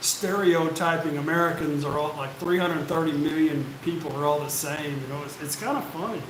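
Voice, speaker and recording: A man talks at a high pitch. Audible room echo and noticeable background noise come through. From United States. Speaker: expat YouTuber. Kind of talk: live stream Q&A. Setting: live stream on camera. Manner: slow.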